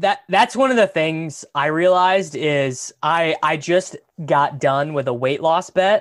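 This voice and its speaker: On a very clean recording with a silent background, a man with an American accent speaks in a plain, everyday voice, fairly high in pitch, with ordinary pitch variation at a fairly slow pace. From Kansas. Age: 20s. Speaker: podcast host. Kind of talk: casual chat.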